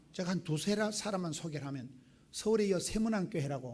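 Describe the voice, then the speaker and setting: Fairly high-pitched male speech, dark and mellow in tone, with lively intonation and a fairly quick pace in audible room echo. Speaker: pastor. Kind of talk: sermon. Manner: animated.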